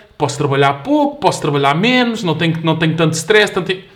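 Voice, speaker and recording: Lively intonation in a European Portuguese accent. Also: man. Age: 20s. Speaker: fitness specialist. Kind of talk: casual chat.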